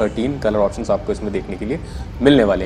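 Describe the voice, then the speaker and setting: Lively intonation from a man at a fairly quick pace, with music in the background. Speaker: car reviewer. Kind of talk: casual car walkaround commentary. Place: shop. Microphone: phone near.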